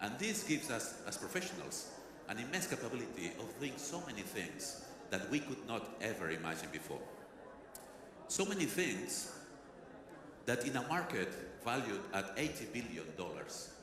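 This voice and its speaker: Speaking with a strong Catalan accent, a man at a medium pitch makes very wide pitch swings and pauses long and often. Room echo is audible, and background noise is noticeable. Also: moderate pace. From Catalonia, Spain. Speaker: president of a research industry association. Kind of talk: conference keynote.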